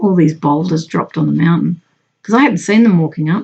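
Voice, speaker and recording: The voice is somewhat breathy, with an Australian accent. Its intonation is lively. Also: woman. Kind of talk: casual talk to camera. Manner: chatty, conversational.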